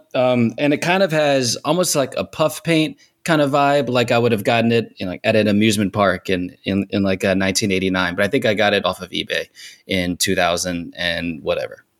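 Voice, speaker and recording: A man speaks at a fairly quick pace in an ordinary speaking voice, medium in pitch with lively intonation, on a very clean recording with a silent background. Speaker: musician, band frontman. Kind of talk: casual chat.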